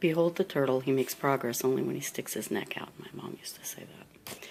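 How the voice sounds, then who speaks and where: A woman whispers at a moderate pace. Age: 40s. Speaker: vlogger. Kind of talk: casual vlog and reading aloud.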